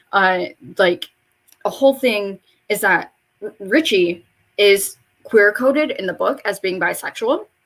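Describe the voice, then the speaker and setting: A woman at a medium pitch talks at a fairly slow pace with long, frequent pauses. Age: 20s. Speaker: beauty vlogger. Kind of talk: casual vlog monologue. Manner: loud.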